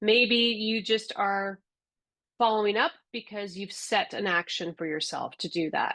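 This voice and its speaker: A woman speaks at a moderate pace with a fairly high pitch and lively intonation. Hers is a normal speaking voice. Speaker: software trainer. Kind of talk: webinar tutorial.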